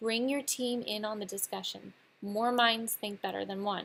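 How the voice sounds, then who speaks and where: The intonation is fairly even. It is a very clean recording with a silent background. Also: woman. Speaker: teacher. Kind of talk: recorded lesson. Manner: fast.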